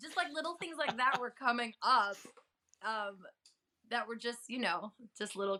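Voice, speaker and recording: A woman talks at a moderate pace with lively intonation. Her tone is bright, sharp and animated. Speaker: health advocate and entertainment reporter. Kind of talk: interview storytelling.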